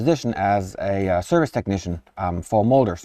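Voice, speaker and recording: A man speaks with a slight southern German accent and lively intonation. His dark, mellow tone comes through over a quiet background. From southern Germany. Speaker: product manager. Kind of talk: live stream interview. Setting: live stream in front of machine.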